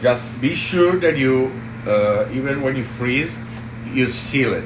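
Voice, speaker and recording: A man with an Italian accent speaks with ordinary pitch variation. Room echo and background noise are both noticeable. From Italy, southern Tuscany. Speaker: executive chef. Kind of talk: cooking tutorial. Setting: restaurant kitchen livestream. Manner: halting.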